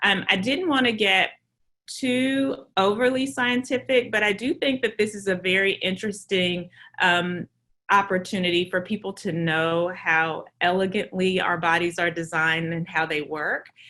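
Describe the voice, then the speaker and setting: Bright and sharp in tone, a woman's medium-pitched voice moves at a moderate pace with ordinary pitch variation. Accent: Southern US. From US South. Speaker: maternal fetal medicine physician. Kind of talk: lecture.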